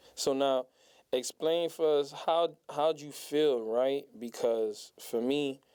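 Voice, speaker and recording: With an American accent, a man speaks at a very slow pace in a dark, mellow tone and a fairly high pitch. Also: ordinary pitch variation. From Miami, Florida. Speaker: podcast host. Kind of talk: podcast interview.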